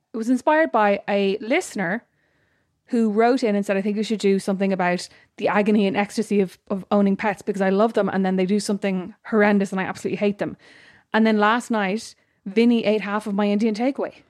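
A woman's very fast speech in an Irish accent, medium in pitch, on a very clean recording with a silent background. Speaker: podcast co-host. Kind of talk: casual chat. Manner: animated.

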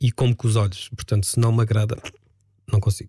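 With a dry, close sound and no echo, a man speaks at medium pitch, somewhat breathy, in a dark, mellow tone. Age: 50s. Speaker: radio presenter and DJ. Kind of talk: casual chat. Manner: calm.

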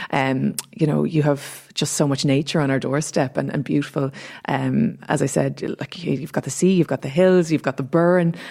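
A woman with a very deep, low pitch speaks in a dark, mellow tone with vocal fry and fairly even intonation. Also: moderate pace. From Dublin, Ireland. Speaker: entrepreneur and influencer. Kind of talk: casual radio panel chat. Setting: studio.

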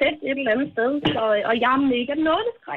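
A woman speaks at a moderate pace in a high voice with lively intonation. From Denmark, Falster. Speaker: radio caller. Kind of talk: phone-in chat. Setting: phone call.

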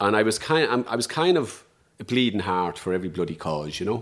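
Speaking with an Irish accent, a man keeps a fairly quick pace. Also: very clean recording, silent background. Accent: Irish (Louth). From Ireland, Dundalk, County Louth. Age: 50s. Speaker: trade unionist and social justice campaigner. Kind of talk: interview conversation. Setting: at host's kitchen table.

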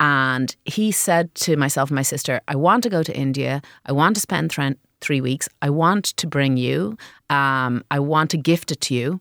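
A woman with an Irish accent speaks with a very deep, low pitch. The recording is very clean, with a silent background. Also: ordinary pitch variation, moderate pace, dry, close sound with no echo. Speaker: social enterprise co-founder. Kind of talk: interview. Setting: studio.

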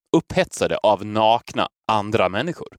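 Recorded with a dry, close sound with no echo, a man speaks with very wide pitch swings. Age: 30s. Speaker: podcast host. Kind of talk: casual chat.

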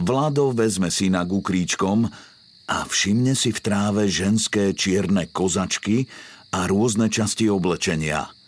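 This man's voice has a fairly low pitch, ordinary pitch variation and a dramatic tone. He speaks at a fairly slow pace with very even loudness. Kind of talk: true-crime scripted narration. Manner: measured, dramatic storytelling pace; grave, suspenseful, formal.

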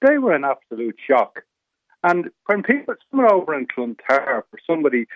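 Someone with a north Dublin accent speaks at a moderate pace with lively intonation. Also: man. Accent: Irish (rural north Dublin). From North County Dublin, Ireland. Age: 70s. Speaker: residents association representative. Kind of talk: radio interview. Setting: phone call.

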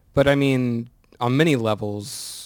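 This is a man talking. The variation in his pitch is ordinary. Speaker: rock band guitarist. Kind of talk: interview chat. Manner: soft-spoken.

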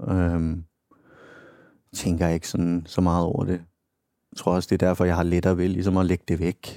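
A man with a very deep, low, dark and mellow voice, moderate pace, monotone, flat intonation, very even loudness, and long, frequent pauses. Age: 30s. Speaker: podcast guest diagnosed with psychopathy. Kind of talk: casual interview.

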